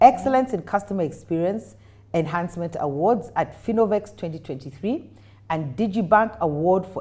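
At a moderate pace, a woman with a Kenyan accent talks in a fairly low, dark, mellow voice with lively intonation and big swings in loudness. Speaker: talk show host. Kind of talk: interview. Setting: studio. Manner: animated. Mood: warm, friendly, laughing. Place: studio. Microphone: lapel.

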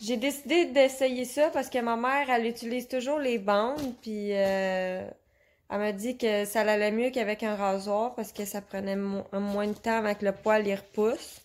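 A woman speaks with a Quebec accent at a fairly slow pace. Her pitch is fairly high and varies in an ordinary way. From Quebec (Repentigny). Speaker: customer reviewer. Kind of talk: product testimonial. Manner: hesitant, many filler sounds. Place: home room. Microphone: phone near.

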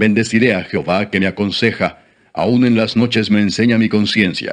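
A man speaks at a fairly low pitch in a solemn, flat monotone. The background is quiet. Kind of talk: audiobook-style reading aloud of scripture (Psalms). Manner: slow, solemn, formal reverent reading; steady measured pace with pauses between verses.

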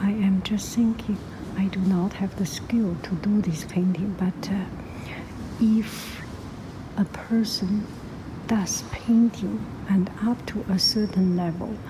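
Very slow speech with long, frequent pauses and noticeable background noise. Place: hall. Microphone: phone near.

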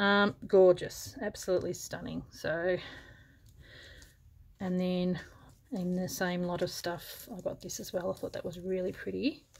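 A woman speaks in a somewhat breathy voice, leaving long, frequent pauses. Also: ordinary pitch variation, fairly slow pace. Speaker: thrift haul vlogger. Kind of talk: casual vlog chat. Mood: pleased, enthusiastic. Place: home room. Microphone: camera far.

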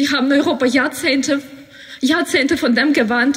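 A high-pitched woman at a fairly slow pace, her intonation fairly even, with noticeable background noise. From Ukraine. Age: 20s. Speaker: student. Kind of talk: speech at a rally. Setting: outdoor rally. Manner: emotional.

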